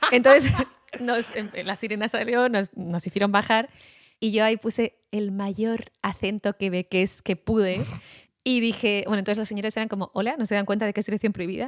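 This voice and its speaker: An animated tone comes through at a moderate pace, the sound dry and close with no echo. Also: woman, fairly high pitch for a woman. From Basque Country, Spain. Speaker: journalist. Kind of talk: casual chat.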